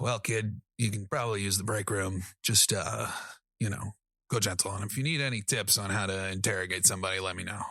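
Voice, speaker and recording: A put-on character voice from a man, raspy and fairly low, delivered at a fairly quick pace on a very clean recording with a silent background. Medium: actual play. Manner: gruff, blunt.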